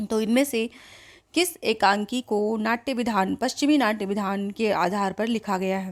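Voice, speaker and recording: An unremarkable speaking voice with ordinary pitch variation, on a very clean recording over a silent background. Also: woman. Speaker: Hindi exam coaching teacher. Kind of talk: quiz-style exam tutorial.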